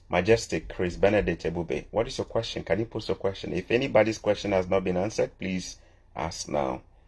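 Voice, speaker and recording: A man with a very deep, low pitch speaks at a fairly quick pace, with vocal fry and ordinary pitch variation. The background is quiet. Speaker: immigration advice channel host. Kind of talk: live Q&A. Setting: livestream. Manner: fast.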